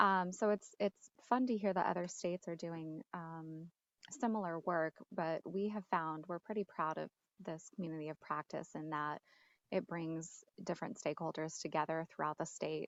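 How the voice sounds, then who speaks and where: A soft-spoken woman with a fairly low pitch talks at a moderate pace with ordinary pitch variation, the sound dry and close with no echo against a quiet background. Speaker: state education staff member. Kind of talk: online work meeting. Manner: hesitant, many fillers.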